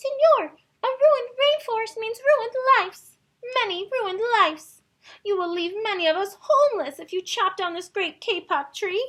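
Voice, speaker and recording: In a put-on character voice, a woman squeaks along at an extremely high pitch. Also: moderate pace. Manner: pleading.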